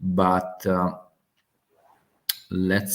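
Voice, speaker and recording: This man has a strong Italian accent and a fairly low pitch. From Italy. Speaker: geopolitics channel host. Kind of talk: live stream open discussion. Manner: halting, many fillers.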